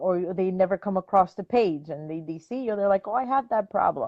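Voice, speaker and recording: With a Spanish accent, a woman talks at a fairly quick pace, medium pitch and ordinary pitch variation. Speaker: dog trainer. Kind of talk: casual chat. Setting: live stream video call.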